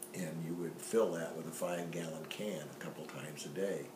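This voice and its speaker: A man with a Midwestern American accent and a very deep, low pitch, relaxed in tone and monotone, at a moderate pace, with audible room echo and noticeable background noise. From US Midwest, western Illinois near Rock Island. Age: 70s. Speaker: family storyteller. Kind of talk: personal life story. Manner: relaxed, conversational with fillers.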